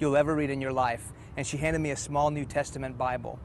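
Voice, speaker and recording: This speaker talks at a very fast pace with fairly even intonation. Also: man. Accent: Texan. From Houston, Texas. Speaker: preacher. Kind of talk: testimony.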